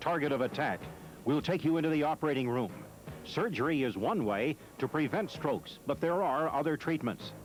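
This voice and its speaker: Music plays in the background. A man with a fairly high voice speaks at a moderate pace with ordinary pitch variation. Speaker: TV news anchor. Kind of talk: TV news headline teaser.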